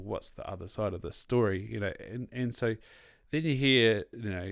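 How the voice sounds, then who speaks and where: A man talks with a Southland New Zealand accent and ordinary pitch variation. The recording is very clean, with a silent background. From New Zealand, Southland (Invercargill). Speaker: podcast host. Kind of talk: casual chat.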